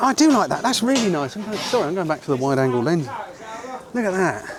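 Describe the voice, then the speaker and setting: Crowd noise fills the background. Over it, a man talks with very wide pitch swings. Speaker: photography teacher. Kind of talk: tutorial. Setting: outdoors. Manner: animated.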